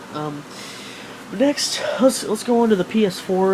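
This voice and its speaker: A man talks with ordinary pitch variation over noticeable background noise. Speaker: gaming vlogger. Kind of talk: casual vlog monologue. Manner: fast; animated.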